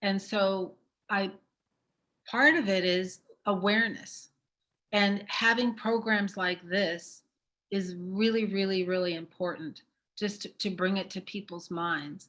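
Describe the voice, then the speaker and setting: With long, frequent pauses, a woman speaks at a fairly slow pace in a medium pitch, using fairly even intonation and a bright, sharp tone. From Caribbean. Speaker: event speaker. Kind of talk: speech at virtual celebration. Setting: virtual event.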